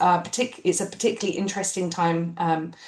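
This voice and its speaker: A woman with a British accent speaks with fairly even intonation at a fairly low pitch. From UK. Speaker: refugee education researcher. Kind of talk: academic panel presentation. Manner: hesitant, many fillers.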